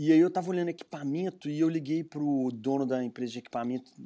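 A very clean recording with a silent background captures a man's dark, mellow tone at fairly high pitch, with ordinary pitch variation and a moderate pace. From Minas Gerais, Brazil (Belo Horizonte). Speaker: entrepreneur, brewery founder. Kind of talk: interview.

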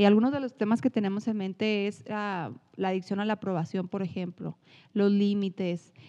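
Behind the voice, the background is quiet. Its tone is dark and mellow. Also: woman, dry, close sound with no echo. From northern Mexico, Chihuahua. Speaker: psychologist, podcast co-host. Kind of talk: casual chat. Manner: animated.

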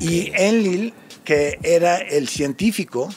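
Over music in the background, a man with a fairly high pitch speaks at a fairly slow pace with lively intonation. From United States. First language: English (speaking Spanish). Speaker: musician and songwriter. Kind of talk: casual chat.

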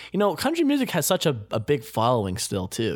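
Extremely rapid delivery, very cleanly recorded against total silence. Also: man. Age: 20s. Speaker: podcast host. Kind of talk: casual chat. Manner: animated.

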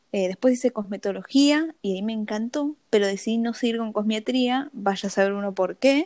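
With a normal speaking voice, a woman talks at a moderate pace with hardly any pauses, her fairly high pitch showing ordinary variation. The recording is very clean with a silent background and a dry, close sound with no echo. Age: 20s. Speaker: cosmetologist and skincare influencer. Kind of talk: casual interview.

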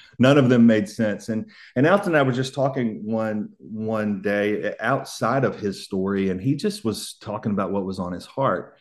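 A man with a Southern US accent, medium pitch, ordinary pitch variation and a moderate pace, against a quiet background. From US South. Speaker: author. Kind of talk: casual interview.

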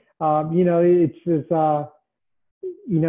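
A man speaks at a high pitch with a Mid-Atlantic American accent. His intonation is monotone and flat. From Washington DC area (northern Virginia). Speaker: government IT executive. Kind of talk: interview.

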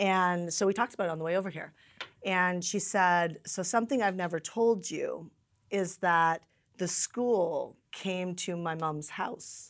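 In a very clean recording with a silent background, a woman with an unremarkable speaking voice talks at a fairly slow pace, using a medium pitch and ordinary pitch variation. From Canada. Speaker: event host and business coach. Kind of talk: interview conversation.

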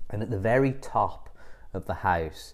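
A man speaks at a fairly slow pace with ordinary pitch variation, and some room echo can be heard. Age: 30s. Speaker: yoga teacher and business coach podcast host. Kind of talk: solo podcast monologue.

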